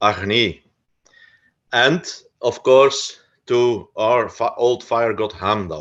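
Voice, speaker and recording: The background is quiet as a man speaks at a medium pitch. He goes at a very slow pace. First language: Dutch. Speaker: researcher of folk customs. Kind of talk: lecture. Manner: halting, many fillers.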